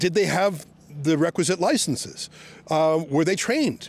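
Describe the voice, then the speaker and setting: A man speaks with a high pitch. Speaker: reporter. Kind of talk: on-location reporting, confronting police. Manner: loud, projecting; sarcastic, animated.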